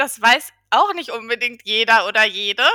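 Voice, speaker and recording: A woman's ordinary speaking voice, fairly high in pitch, at a fairly slow pace. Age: 30s. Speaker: regional business development project manager. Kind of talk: podcast interview.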